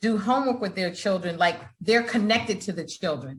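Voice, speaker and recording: A somewhat breathy woman's voice with ordinary pitch variation. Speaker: founder, author, real estate investor. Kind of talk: interview answer.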